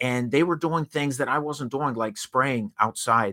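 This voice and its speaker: A man with a bright, sharp tone speaks at a moderate pace with ordinary pitch variation, in a dry, close sound with no echo. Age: 60s. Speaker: house painting business owner and speaker. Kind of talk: interview.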